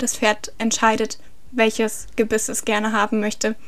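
The woman's intonation is monotone and flat at a fairly high pitch. She keeps a moderate pace over noticeable background noise. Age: 20s. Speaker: horse trainer and equine physiotherapist. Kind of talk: interview. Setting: home recording with partner.

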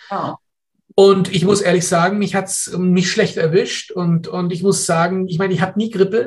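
A man speaks at a moderate pace. His high-pitched voice is monotone, with flat intonation. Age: 60s. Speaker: professor and physician. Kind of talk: interview. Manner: hesitant, many fillers.

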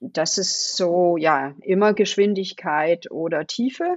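A woman with a Danish accent speaks in a fairly low pitch with ordinary pitch variation. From Denmark. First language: Danish (speaking German). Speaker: design leader. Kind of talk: interview. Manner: hesitant, many fillers.

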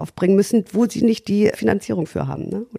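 The sound is dry and close, without any echo. A woman's voice comes through dark and mellow in tone. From Schleswig-Holstein, Baltic coast. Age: 40s. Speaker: club owner and entrepreneur. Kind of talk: interview.

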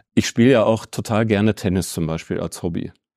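On a very clean recording with a silent background, a man's voice carries a dark, mellow tone. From Ruhr area, Bochum. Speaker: chamber of crafts executive. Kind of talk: interview.

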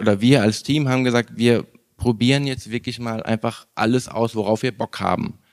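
A man has an ordinary speaking voice at a medium pitch with fairly even intonation. The sound is dry and close, with no echo. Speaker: filmmaker. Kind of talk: interview.

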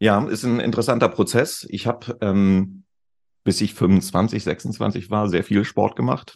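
A man speaks very slowly with vocal fry, his pitch fairly low and its variation ordinary. The background is quiet. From Lower Saxony, northern Germany (Celle). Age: 50s. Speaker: digital consultant, former radio host. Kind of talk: casual chat.

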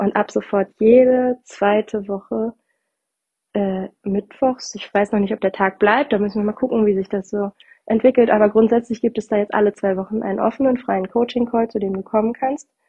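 A woman with a fairly high pitch keeps her intonation fairly even while speaking at a moderate pace. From northern Germany. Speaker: podcast host, bereavement doula and coach. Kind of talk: solo podcast talk. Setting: recording at her parents' home. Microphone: without her usual microphone, sound differs.

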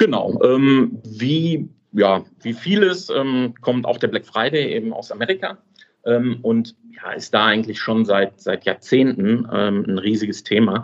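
At a very slow pace, a man talks with medium pitch and lively intonation. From Swabia, southern Germany. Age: 30s. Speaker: affiliate website owner. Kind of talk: interview. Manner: hesitant, many fillers.

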